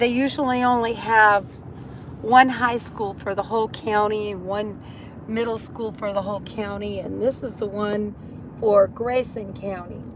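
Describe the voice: A raspy woman's voice, fairly high-pitched and slow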